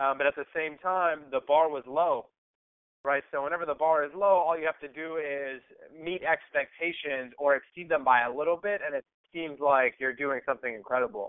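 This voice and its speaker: A man with an American accent in a plain, everyday voice, fairly high in pitch with ordinary pitch variation, at a fairly quick pace. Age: 20s. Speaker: entrepreneur. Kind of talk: interview. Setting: phone call.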